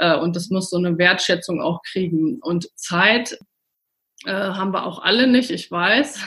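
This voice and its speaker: A woman's bright, sharp voice at medium pitch and a moderate pace. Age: 40s. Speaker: nutritionist. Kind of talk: interview. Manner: hesitant, many fillers.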